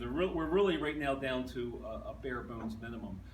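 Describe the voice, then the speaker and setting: Speaking with an American accent, a man keeps a moderate pace amid audible room echo and noticeable background noise. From southeastern Pennsylvania. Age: 60s. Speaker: newspaper journalist. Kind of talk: talk with audience Q&A. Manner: halting, many restarts.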